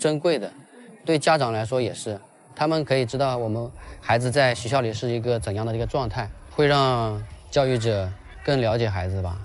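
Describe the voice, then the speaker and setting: At a fairly quick pace broken by long, frequent pauses, a man talks in a medium pitch with ordinary pitch variation. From rural Quzhou, Zhejiang. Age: 30s. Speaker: primary school PE teacher. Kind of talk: interview. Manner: casual, with fillers.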